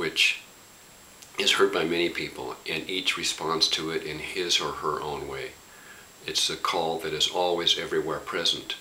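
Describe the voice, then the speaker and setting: A man talks at a moderate pace in a warm tone. Noticeable background noise sits behind him. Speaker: spiritual teacher. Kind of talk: reflective spoken talk. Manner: impassioned, warm; halting with fillers.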